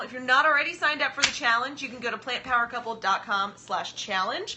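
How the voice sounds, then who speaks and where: The woman here speaks in an animated tone. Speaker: vegan cooking livestream co-host. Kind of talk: casual live stream chat. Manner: loud.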